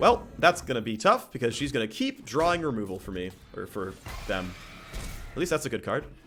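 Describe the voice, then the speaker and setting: With music in the background, this loud voice moves at a fairly quick pace with very wide pitch swings and long, frequent pauses. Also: man, medium pitch for a man. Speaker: game streamer. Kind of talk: live gameplay commentary. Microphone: too close to the microphone.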